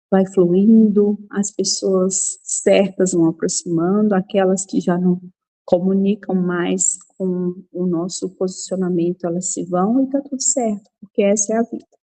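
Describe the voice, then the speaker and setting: In a dry, close sound with no echo, a woman with a Minas Gerais accent speaks at a fairly slow pace. Her medium-pitched voice is somewhat breathy and dark and mellow in tone, with ordinary pitch variation. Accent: mineiro. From Minas Gerais, Brazil (Belo Horizonte). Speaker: image and nonverbal communication mentor. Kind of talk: talk to an online women's group.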